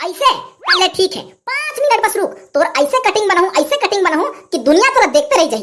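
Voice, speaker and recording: In a cartoonish character voice, someone talks at a moderate pace with an extremely high pitch. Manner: brash, mocking.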